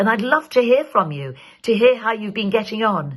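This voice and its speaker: Somewhat breathy and warm in tone, a woman speaks at a medium pitch with very wide pitch swings. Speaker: actor. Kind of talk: public safety message to camera. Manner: warm, friendly.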